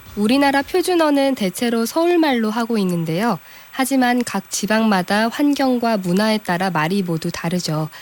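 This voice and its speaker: A woman speaks at a fairly high pitch and a moderate pace. Her pitch swings very widely while her loudness stays very even. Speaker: radio announcer. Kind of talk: radio interview host.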